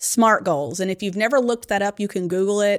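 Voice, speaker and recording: A woman with an ordinary speaking voice talks at a medium pitch and a fairly quick pace with ordinary pitch variation, on a very clean recording with a silent background. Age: 40s. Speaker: financial advisor and podcast co-host. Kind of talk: casual chat.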